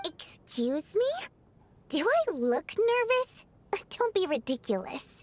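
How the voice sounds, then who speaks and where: Using a put-on character voice, a woman speaks at an extremely high pitch with very wide pitch swings, moving at a fairly slow pace with long, frequent pauses. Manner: defensive, haughty.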